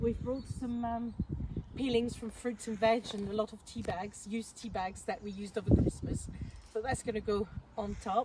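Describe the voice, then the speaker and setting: Noticeable background noise behind a woman with a French accent, talking at a moderate pace. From France. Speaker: allotment vlogger. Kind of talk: casual vlog chat. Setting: outdoors.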